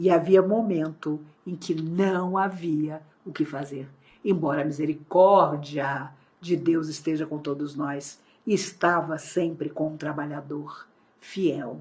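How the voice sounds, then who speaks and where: A woman with a very deep, low pitch speaks at a very slow pace, somewhat breathy, with audible room echo. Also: fairly even intonation. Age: 60s. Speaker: spiritist lecturer. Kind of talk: lecture. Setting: online talk.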